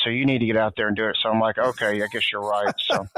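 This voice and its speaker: A man's medium-pitched voice comes in a Southern US accent. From US South, Tennessee. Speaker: former DEA agent. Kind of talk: casual interview chat.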